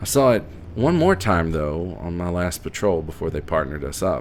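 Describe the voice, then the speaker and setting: There is noticeable background noise as a man talks with an Appalachian accent. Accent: mild Appalachian. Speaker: horror narrator. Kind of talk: audio drama narration.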